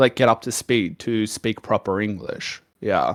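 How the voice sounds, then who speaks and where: A man with a Melbourne accent on a very clean recording, silent background, and a dry, close sound with no echo. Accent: Australian (Melbourne). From Australia, Melbourne. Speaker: streamer. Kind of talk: casual chat. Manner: animated.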